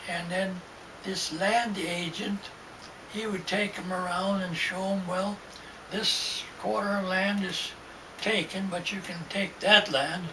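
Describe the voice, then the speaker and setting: Against noticeable background noise, a man with a high voice projects it loudly, speaking very slowly in a flat monotone. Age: 80s+. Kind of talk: oral history interview. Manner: halting, rambling.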